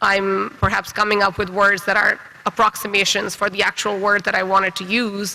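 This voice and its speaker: A man with a high pitch uses a raised, projected voice at a fairly slow pace. Noticeable background noise sits behind him. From Pakistan. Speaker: writer and panel moderator. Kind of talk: panel discussion.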